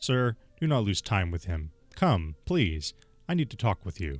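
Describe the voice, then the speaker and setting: A put-on character voice at a moderate pace, with faint music in the background. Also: man, fairly low pitch for a man. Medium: solo performance.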